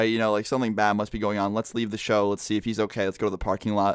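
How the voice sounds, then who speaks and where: A man speaks quietly at a very fast pace, his fairly low voice animated, on a very clean recording with a silent background. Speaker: storytelling vlogger. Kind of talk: casual storytelling. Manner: quiet, kept down.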